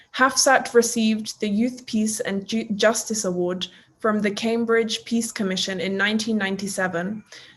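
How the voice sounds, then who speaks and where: A fairly high-pitched woman with fairly even intonation, over noticeable background noise. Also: moderate pace. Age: 20s. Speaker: youth representative interviewer. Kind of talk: interview. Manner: formal.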